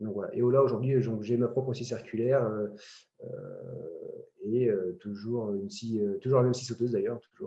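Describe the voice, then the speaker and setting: A man's medium-pitched, dark, mellow voice at a moderate pace, with ordinary pitch variation and long, frequent pauses. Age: 30s. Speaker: amateur woodworker. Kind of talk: interview. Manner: hesitant, many fillers.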